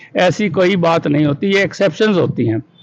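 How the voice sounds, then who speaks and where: Noticeable background noise behind a man's voice at a moderate pace. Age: 70s. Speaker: school director. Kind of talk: interview.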